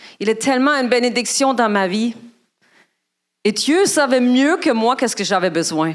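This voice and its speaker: A woman's high-pitched voice with a German accent, very wide pitch swings, very even loudness, moderate pace and long, frequent pauses. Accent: foreign accent (German). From Germany. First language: German (speaking French). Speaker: guest speaker at church. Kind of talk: sermon. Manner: halting.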